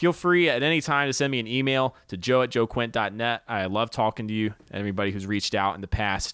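With an American accent and an unremarkable speaking voice, a man talks at a fairly quick pace with lively intonation over a silent background on a very clean recording. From US South. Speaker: podcast host and comedian. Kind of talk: podcast intro; casual chat.

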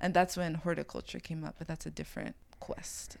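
A fairly quick pace marks a woman talking in an American accent. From Brooklyn, New York City. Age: 20s. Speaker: farmer and food activist. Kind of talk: casual chat.

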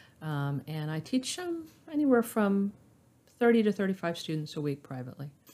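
In an American accent, a woman speaks at a moderate pace with a dark, mellow tone at a medium pitch. Her pitch swings very widely and her loudness varies a lot. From US South, Florida (Orlando). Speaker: piano teacher. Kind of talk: casual chat. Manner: hesitant, many fillers.

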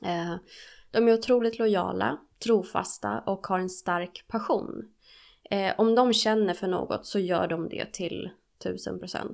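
A woman's voice, very cleanly recorded against total silence. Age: 30s. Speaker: podcast co-host, studying to be a recovery therapist. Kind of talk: casual chat.

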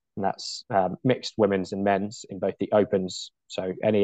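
A man's fairly low, dark and mellow voice with a British accent, flat and monotone, in a dry, close sound with no echo. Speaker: tag rugby organiser and commentator. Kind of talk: interview, casual chat.

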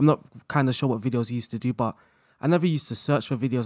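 The delivery comes at a very fast pace from a man. No echo, just a dry and close sound. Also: very clean recording, silent background. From London. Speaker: football manager content creator. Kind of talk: casual interview chat.

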